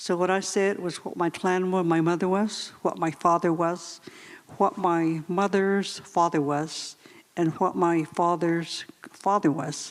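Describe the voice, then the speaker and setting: Here a woman speaks with a Navajo accent at a fairly slow pace. Her fairly low pitch stays monotone and flat. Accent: Navajo-inflected American English. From Navajo Nation, US Southwest. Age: 60s. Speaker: former boarding school student. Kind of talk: panel discussion.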